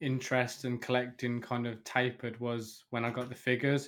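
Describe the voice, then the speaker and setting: Here a man speaks with a British accent. His pitch is medium and his pace moderate. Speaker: podcast host. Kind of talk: casual chat.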